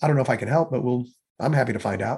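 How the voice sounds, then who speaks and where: Over a quiet background, a man with an American accent talks in a somewhat breathy voice at medium pitch with ordinary pitch variation. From US Midwest (St. Louis). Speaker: entrepreneur and marketing consultant. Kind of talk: podcast interview.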